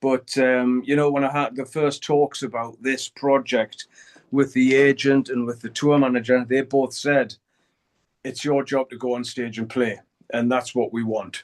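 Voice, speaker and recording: A man with a Geordie accent and monotone, flat intonation, dry and close with no echo. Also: medium pitch for a man, moderate pace. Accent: Geordie (Newcastle) English. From northern England, Newcastle. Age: 60s. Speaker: heavy metal guitarist. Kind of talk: interview. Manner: halting, many fillers.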